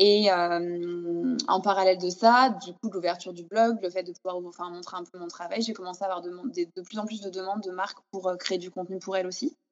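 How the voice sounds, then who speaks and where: At a fairly quick pace and with hardly any pauses, a woman with an unremarkable speaking voice talks at medium pitch, her intonation fairly even but her loudness swinging widely. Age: 30s. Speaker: food photographer and stylist. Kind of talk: interview. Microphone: sound problems in some passages.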